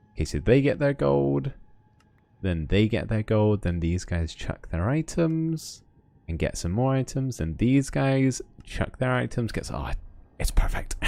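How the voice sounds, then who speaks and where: A man with a slight West Country accent, medium pitch, a dark, mellow tone and very wide pitch swings. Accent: slight West Country accent, shows on r sounds. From West of England. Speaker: Minecraft streamer. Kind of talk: livestream commentary with chat. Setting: livestream. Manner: casual, chatty.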